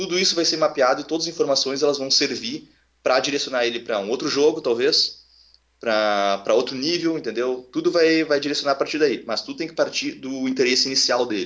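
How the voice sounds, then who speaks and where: This man has a normal speaking voice with a fairly high pitch. He talks at a fairly quick pace with ordinary pitch variation. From Rio Grande do Sul, Brazil. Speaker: education project founder. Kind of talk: casual interview.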